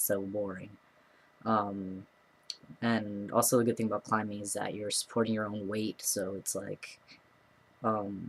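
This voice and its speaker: The pace is moderate. Intonation stays flat and monotone throughout. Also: man. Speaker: vlogger. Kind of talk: casual vlog update. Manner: hesitant, many fillers.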